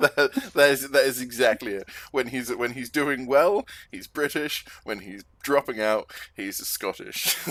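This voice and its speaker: A man talks at a fairly slow pace with ordinary pitch variation and big swings in loudness. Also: medium pitch for a man. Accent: English. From England. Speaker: stream host. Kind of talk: casual chat. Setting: live stream. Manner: halting, many repeated words.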